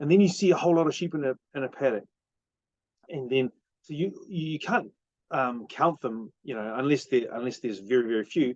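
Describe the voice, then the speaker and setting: In a New Zealand accent, a man talks at a fairly quick pace and medium pitch with lively intonation and long, frequent pauses, the sound dry and close with no echo. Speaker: parenting vlogger. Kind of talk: casual monologue. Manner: halting, with many fillers.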